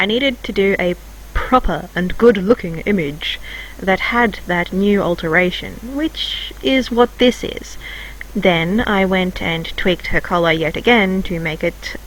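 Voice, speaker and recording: A woman's medium pitch and lively intonation at a fairly slow pace, over noticeable background noise. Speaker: hobby artist and video creator. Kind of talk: scripted narration.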